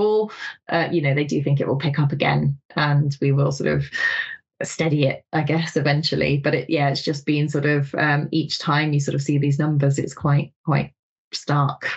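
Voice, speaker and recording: Very even loudness, monotone, flat intonation, a moderate pace and a somewhat breathy quality. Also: woman. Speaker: magazine editor. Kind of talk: casual chat.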